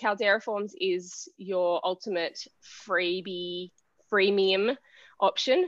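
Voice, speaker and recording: A woman with an Australian accent at a very slow pace, medium in pitch with ordinary pitch variation, and long, frequent pauses. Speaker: web designer. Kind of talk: casual chat. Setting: video call.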